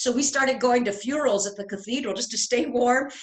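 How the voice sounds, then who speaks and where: Over noticeable background noise, a woman talks at a very fast pace. Her pitch is high, with ordinary variation. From Santa Fe, New Mexico. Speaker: real estate guide. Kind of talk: interview questions.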